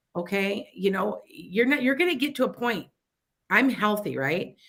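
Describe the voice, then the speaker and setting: The voice carries a Chicago accent at a moderate pace. Its pitch swings very widely. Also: woman. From US Midwest, Wisconsin-Illinois border. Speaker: psychic radio host. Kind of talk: casual talk radio advice. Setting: internet radio studio, live stream. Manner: animated, halting with frequent restarts.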